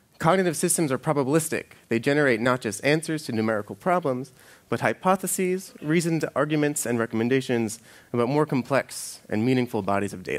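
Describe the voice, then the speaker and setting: Here a man speaks at a very fast pace. His intonation is lively. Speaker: conference speaker. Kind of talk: lecture. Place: stage.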